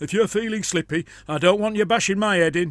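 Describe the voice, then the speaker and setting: Putting on a gruff character voice in a Cockney accent, a man talks at a very fast pace in a high pitch on a very clean recording with a silent background. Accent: rough cockney-ish dialect. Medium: read story. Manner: gruff, menacing.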